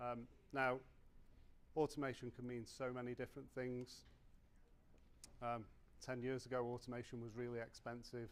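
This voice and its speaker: This man talks with a British accent. His pitch is medium and his pace moderate. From UK. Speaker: conference speaker, tooling sales manager. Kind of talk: conference talk.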